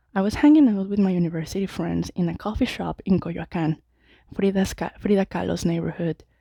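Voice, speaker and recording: A woman with a Mexican accent talks at a medium pitch in a dark, mellow tone. The sound is dry and close with no echo, on a very clean recording with a silent background. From Mexico City. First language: Spanish. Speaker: Toastmasters club member. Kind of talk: prepared speech. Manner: halting at times.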